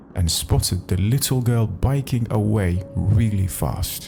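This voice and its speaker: Music plays behind a man's voice. He speaks at a fairly low pitch with ordinary pitch variation. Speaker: Reddit story narrator. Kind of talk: read story with commentary.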